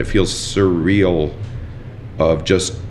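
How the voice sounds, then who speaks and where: Noticeable background noise and audible room echo both accompany a man as he talks. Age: 40s. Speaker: chef. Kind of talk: casual chat.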